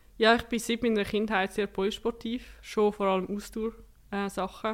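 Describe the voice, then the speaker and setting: In an ordinary speaking voice, a woman talks at a medium pitch and a moderate pace. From Switzerland, canton of Zurich. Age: 20s. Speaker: para-cyclist and political science student. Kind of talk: interview.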